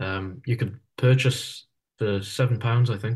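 Against a quiet background, a man talks with fairly even intonation in a somewhat breathy voice. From Isle of Man. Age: 20s. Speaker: folk musician and university student. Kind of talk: interview. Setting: video call. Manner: hesitant, many fillers.

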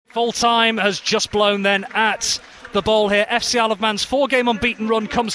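A man speaks in a raised, projected voice with a high pitch and an energetic tone. Noticeable background noise runs behind him. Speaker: football match commentator. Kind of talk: live football commentary. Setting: stadium commentary for radio. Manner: fast, energetic play-by-play delivery; rising excitement at goals and near misses.

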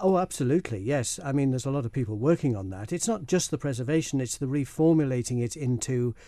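The speaker talks at a very fast pace in a Manx accent. The tone is dark and mellow, against a quiet background. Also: man, hardly any pauses. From Isle of Man. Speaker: filmmaker and broadcaster. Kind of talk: radio interview.

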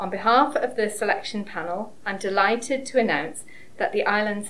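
At a moderate pace, a woman with an ordinary speaking voice shows ordinary pitch variation. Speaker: award presenter. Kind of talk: formal award announcement speech.

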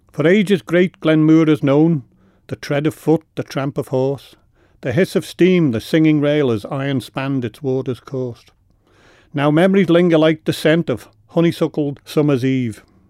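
A man's fairly high voice with a Manx accent and a dark, mellow tone, ordinary pitch variation and a fairly slow pace, in a dry, close recording with no echo, very clean against a silent background. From Isle of Man. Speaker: poet. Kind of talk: poetry reading; radio interview. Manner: halting.

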